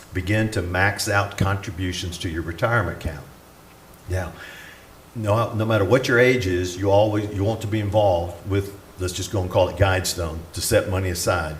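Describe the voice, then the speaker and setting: With a Southern US accent, the speaker keeps a fairly even intonation. Room echo is audible. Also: man, fairly low pitch for a man, fairly quick pace. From US South (Atlanta, Georgia). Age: 60s. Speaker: retired pastor. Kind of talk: conference talk.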